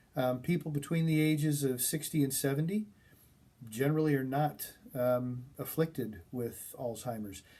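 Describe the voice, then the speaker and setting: A man speaks at a moderate pace in a somewhat breathy, fairly high voice. The tone is dark and mellow, with ordinary pitch variation. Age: 60s. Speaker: college instructor. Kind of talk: lecture. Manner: halting.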